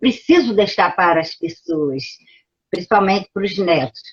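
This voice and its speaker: Her voice is somewhat breathy as this woman speaks. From Brazil, Pernambuco. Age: 70s. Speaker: professor. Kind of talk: lecture.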